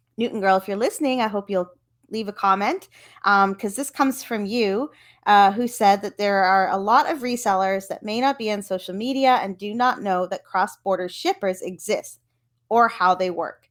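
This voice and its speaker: A woman with a Canadian accent speaks at a moderate pace in a normal speaking voice. The recording is very clean, with a silent background. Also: medium pitch for a woman, ordinary pitch variation. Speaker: podcast host, reseller. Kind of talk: casual solo podcast.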